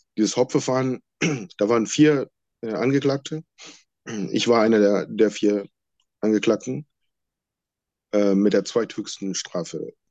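A man with a medium-pitched, dark, mellow voice talks at a fairly slow pace with ordinary pitch variation and long, frequent pauses, the sound dry and close with no echo. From Sri Lanka. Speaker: former political prisoner. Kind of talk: interview testimony. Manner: halting.

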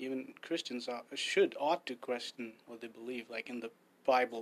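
A man speaks at medium pitch and a moderate pace. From India. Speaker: church minister and former teacher. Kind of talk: casual chat.

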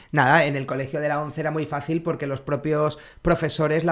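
This is a normal speaking voice at a moderate pace with fairly even intonation. The recording is very clean, with a silent background. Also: man. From Canary Islands (Tenerife). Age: 40s. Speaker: blind co-founder of a sneaker brand. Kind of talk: interview, casual chat.

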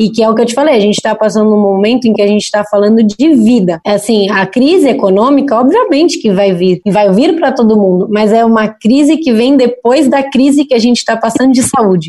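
Talking at a fairly quick pace with hardly any pauses, a woman holds a fairly high pitch, ordinary pitch variation and very even loudness. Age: 20s. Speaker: audiovisual producer and entrepreneur. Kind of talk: interview. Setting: video call.

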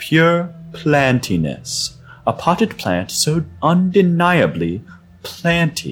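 A man does a squeaky, put-on character voice at a fairly high pitch and a very slow pace. Faint music plays in the background. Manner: brisk, authoritative.

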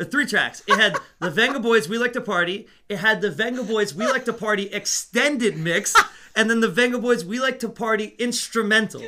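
A man's raised, projected voice, high-pitched, bright and sharp in tone, fairly quick, with ordinary pitch variation. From Netherlands. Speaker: music store assistant manager and podcast co-host. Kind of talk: casual chat.

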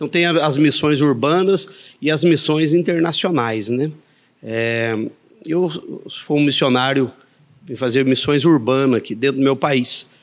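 A man talks at a fairly slow pace with long, frequent pauses. His pitch is fairly high, with ordinary variation. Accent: Minas Gerais. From Andradas, Minas Gerais, Brazil. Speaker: evangelical pastor. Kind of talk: interview. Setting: studio in coworking space.

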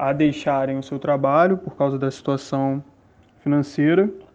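Speaking at a moderate pace, a man with a fairly high pitch has a dark, mellow tone and fairly even intonation. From São Gonçalo, Rio de Janeiro state, Brazil. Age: 20s. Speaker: science teacher. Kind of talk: first-person account. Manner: hesitant, many fillers.

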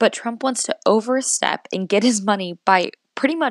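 An ordinary speaking voice from a woman, lively in intonation at a moderate pace, with a dry, close sound and no echo. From US Northeast. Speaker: podcast host, college student. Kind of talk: solo podcast monologue on politics.

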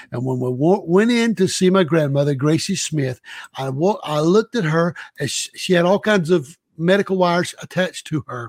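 A man with a Southern US accent and a high voice, lively intonation and a moderate pace, in a dry, close recording with no echo, very clean against a silent background. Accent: Southern US (Georgia). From US South, Savannah, Georgia. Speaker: missionary. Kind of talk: interview.

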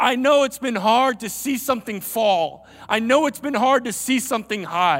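A man with an American accent, an extremely high pitch, ordinary pitch variation and a moderate pace. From US Southeast. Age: 50s. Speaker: guest preacher. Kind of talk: sermon. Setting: church with live audience. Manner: animated.

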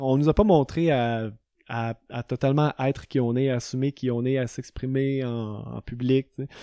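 A man with a medium pitch talks at a fairly slow pace with fairly even intonation. It is an unremarkable speaking voice. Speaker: yoga teacher and entrepreneur. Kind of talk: casual chat.

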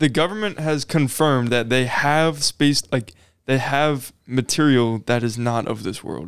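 In a very clean recording with a silent background, a man speaks at a fairly slow pace and a medium pitch. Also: ordinary pitch variation. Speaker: podcast co-host and Marine recruit. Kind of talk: casual chat.

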